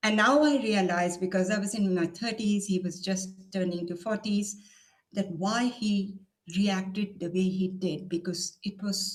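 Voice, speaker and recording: Speaking at a fairly slow pace, a woman with a medium-pitched, somewhat breathy voice keeps her intonation fairly even. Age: 70s. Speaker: motivational trainer. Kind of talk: interview.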